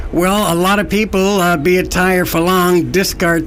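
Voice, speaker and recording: A man speaks with fairly even intonation. Audible room echo and noticeable background noise fill the recording. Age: 70s. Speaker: environmental activist. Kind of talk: radio interview. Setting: studio.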